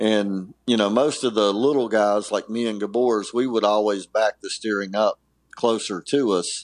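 An unremarkable speaking voice talks at a moderate pace with an American accent and fairly even intonation. The background is quiet, and the sound is dry and close with no echo. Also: man. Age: 50s. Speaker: former motocross racer. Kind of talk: casual interview. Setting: podcast interview.

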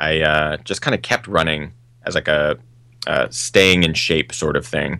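Speaking fairly slowly with an American accent, a man has a very deep, low pitch and a bright, sharp tone. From US Pacific Northwest (Seattle). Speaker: trail running filmmaker and YouTuber. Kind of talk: casual interview.

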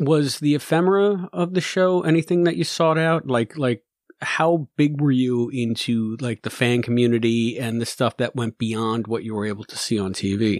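A man with an unremarkable speaking voice talks at medium pitch with lively intonation and hardly any pauses. The sound is dry and close, with no echo. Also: moderate pace. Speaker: podcast host interviewer. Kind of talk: casual interview chat.

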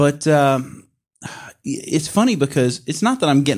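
In a very clean recording with a silent background, a man with an American accent and a plain, everyday voice speaks at a moderate pace, fairly high in pitch, with lively intonation. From US South, Mississippi. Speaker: musician, producer and podcast host. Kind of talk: casual chat. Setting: studio.

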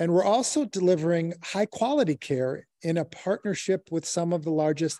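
With an American accent and a dark, mellow tone, the speaker moves at a moderate pace with ordinary pitch variation, the sound dry and close with no echo over a quiet background. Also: man. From Chicago, US Midwest. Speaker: healthcare tech executive. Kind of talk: interview.

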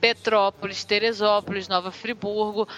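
Music plays behind a woman's voice. She has a fairly high pitch and a moderate pace. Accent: Rio de Janeiro. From Rio de Janeiro city, Brazil. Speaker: podcaster. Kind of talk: casual chat.

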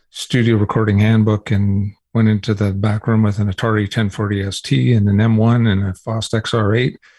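A man talks at a moderate pace in a fairly low, dark, mellow voice with monotone, flat intonation. The sound is dry and close, with no echo. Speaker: music tech entrepreneur. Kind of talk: interview. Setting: remote interview from his office.

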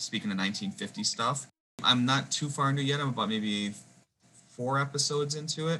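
This man talks at a fairly quick pace with a bright, sharp tone and a slight Wisconsin accent. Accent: Wisconsin accent, slight outside Wisconsin. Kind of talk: casual chat.

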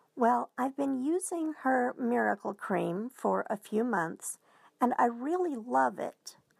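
Recorded very cleanly with a silent background and a dry, close sound with no echo, a woman speaks at a very slow pace. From US, southwestern Oklahoma. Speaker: listener sending a question. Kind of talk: recorded audio question.

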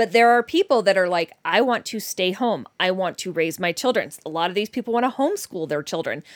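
A woman in a normal speaking voice talks at a fairly quick pace and medium pitch with lively intonation, and the sound is dry and close with no echo. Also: very clean recording, silent background. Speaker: dating podcast host. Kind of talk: casual chat. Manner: laughs often.

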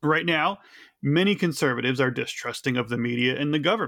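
A man speaks in an ordinary speaking voice at a fairly quick pace. His fairly high pitch shows ordinary pitch variation, in a very clean recording with a silent background. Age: 30s. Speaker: podcast host. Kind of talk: podcast discussion.

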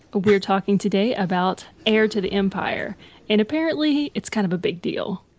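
A woman with an unremarkable speaking voice, medium in pitch, with an American accent, a moderate pace and ordinary pitch variation. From United States. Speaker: podcast host. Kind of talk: casual chat.

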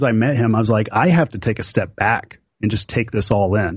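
A man with an American accent, somewhat breathy, at a very fast pace. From Oklahoma. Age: 30s. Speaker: pinball player and YouTuber. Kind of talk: casual chat.

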